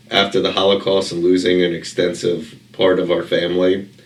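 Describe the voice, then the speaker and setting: The speech comes at a moderate pace with monotone, flat intonation and audible room echo. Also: man. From Baltimore, Maryland. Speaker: real estate investor. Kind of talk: interview. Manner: conversational, many fillers.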